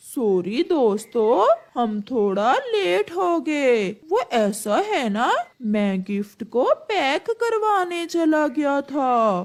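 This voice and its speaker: In a cartoonish character voice, a female-sounding speaker goes at a very slow pace with a high pitch and very wide pitch swings. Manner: sly, scheming.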